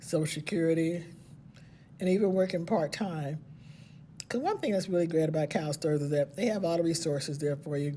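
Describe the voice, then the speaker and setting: A woman speaks at a fairly quick pace with a somewhat breathy, dark and mellow tone, broken by long, frequent pauses. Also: ordinary pitch variation. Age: 60s. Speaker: retiring special education teacher. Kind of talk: casual vlog monologue. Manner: conversational, with fillers.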